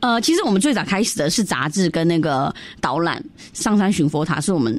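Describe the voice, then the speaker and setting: A woman's fairly low voice at a very fast pace with very wide pitch swings, over noticeable background noise. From Myanmar, Yunnanese Chinese community. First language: Yunnanese (speaking Chinese). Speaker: cultural organizer. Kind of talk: radio interview.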